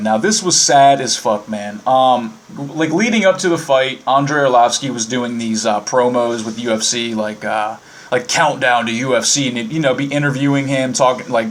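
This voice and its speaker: The speaker talks at a fairly slow pace with an American accent over noticeable background noise. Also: man. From Virginia (Winchester). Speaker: podcast host. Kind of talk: casual monologue. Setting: live internet radio.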